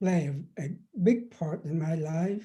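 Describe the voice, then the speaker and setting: At a fairly slow pace, a man with a Vietnamese accent speaks in a fairly high pitch with a dark, mellow tone and ordinary pitch variation. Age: 70s. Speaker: professor and former activist. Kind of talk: interview. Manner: halting, many fillers and repeats.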